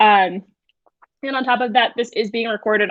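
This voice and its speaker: A woman speaks fairly quickly in an unremarkable speaking voice, her pitch fairly high and her intonation fairly even. The background is quiet, and the sound is dry with no echo. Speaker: digital learning coach. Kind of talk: webinar tutorial. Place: home room. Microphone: webcam.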